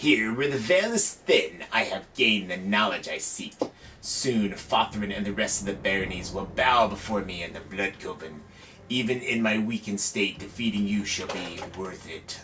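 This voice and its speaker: A man's put-on character voice, fairly low in pitch and menacing in tone, cackling at a moderate pace over clear background noise. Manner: cackling, menacing.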